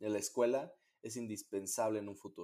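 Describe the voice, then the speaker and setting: This man has a dark, mellow tone and talks at a moderate pace. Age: 20s. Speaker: competitive swimmer and university student. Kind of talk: interview.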